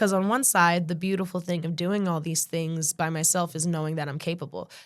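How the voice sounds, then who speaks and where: Fairly quick and fairly even in intonation, a woman talks with a fairly low pitch. She has an ordinary speaking voice on a very clean recording with a silent background. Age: 20s. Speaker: birth doula. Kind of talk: casual chat.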